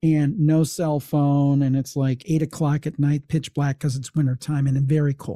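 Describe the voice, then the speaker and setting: A man talks at a fairly high pitch and a fairly slow pace, with a dark, mellow, somewhat breathy tone. The sound is dry and close, with no echo. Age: 50s. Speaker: paranormal podcaster and author. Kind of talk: casual interview and storytelling.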